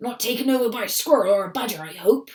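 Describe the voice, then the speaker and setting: A raspy, put-on character voice with a fairly high pitch. It races along at a very fast pace. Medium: read story.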